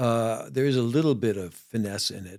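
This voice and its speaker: A man with a New York accent speaks at a moderate pace and medium pitch, with ordinary pitch variation. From New York City, the Bronx. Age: 70s. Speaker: ER doctor and musician. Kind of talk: interview chat. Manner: halting.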